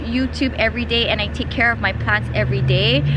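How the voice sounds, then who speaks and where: A woman's voice carries audible room echo, and noticeable background noise runs beneath it. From Hawaii, Big Island (Hilo). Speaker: plant YouTuber and Pilates teacher. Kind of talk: casual Q&A vlog. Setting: outdoors at home.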